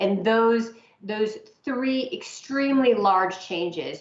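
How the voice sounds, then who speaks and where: Audible room echo surrounds a woman whose voice shows ordinary pitch variation. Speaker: aviation investor and financier. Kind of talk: presentation to a working group.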